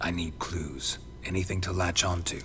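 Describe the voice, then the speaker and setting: Over loud background noise, a man puts on a character voice with a very deep, low pitch. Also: moderate pace. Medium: video game. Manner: terse, dry.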